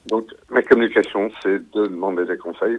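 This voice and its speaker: The man speaks at a fairly quick pace. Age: 60s. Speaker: caller. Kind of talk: call-in testimony.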